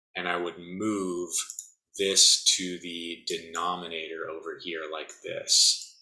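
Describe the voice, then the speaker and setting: A man talks at a very slow pace in a bright, sharp tone. Audible room echo surrounds his voice. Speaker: physics instructor. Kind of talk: lecture.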